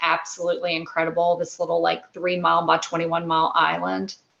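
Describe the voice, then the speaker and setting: In a Texas accent, a woman talks at a fairly low pitch. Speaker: actress and film producer. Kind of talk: interview.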